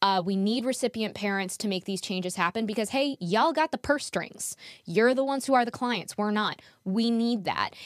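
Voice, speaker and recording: A woman with an ordinary speaking voice talks at a fairly high pitch and a moderate pace. Her pitch varies in an ordinary way, and the sound is dry and close with no echo. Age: 30s. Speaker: podcast host, donor-conceived person. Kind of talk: interview. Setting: video call.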